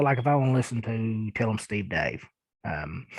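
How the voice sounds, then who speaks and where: Here is a man with a strong Eastern Kentucky accent. He talks at a fairly quick pace. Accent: thick Eastern Kentucky. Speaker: podcast host. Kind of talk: casual podcast monologue answering listener emails. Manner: hesitant, many fillers.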